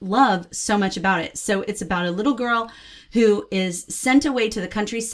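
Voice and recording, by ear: Here is reading aloud in a natural voice. The pitch varies in an ordinary way.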